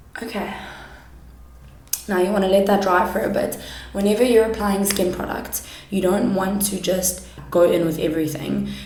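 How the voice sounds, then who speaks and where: Audible room echo and noticeable background noise surround a woman speaking at a moderate pace and medium pitch, her intonation fairly even, with long, frequent pauses. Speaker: makeup YouTuber and kindergarten teacher. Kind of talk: makeup tutorial. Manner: loud.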